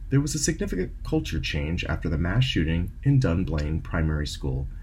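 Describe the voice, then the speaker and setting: A man's voice over noticeable background noise. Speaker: radio host. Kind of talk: radio show host intro.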